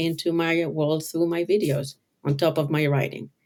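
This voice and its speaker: Very deep and low in pitch, a woman with a non-native accent speaks at a fairly slow pace in a monotone, flat intonation. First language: not English. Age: 50s. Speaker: color designer and author. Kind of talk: interview.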